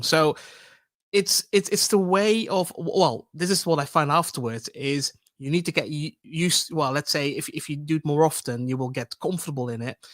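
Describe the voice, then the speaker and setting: In a Dutch accent, a man speaks at a moderate pace with lively intonation. His pitch is fairly high, and the sound is dry and close with no echo. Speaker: public speaking expert. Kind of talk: panel discussion. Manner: halting, many repetitions.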